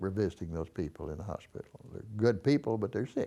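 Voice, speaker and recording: With a Texan accent, a man talks fairly quickly in a fairly low, dark and mellow voice. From Texas (Dallas). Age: 80s+. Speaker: war veteran. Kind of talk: oral history interview. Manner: halting.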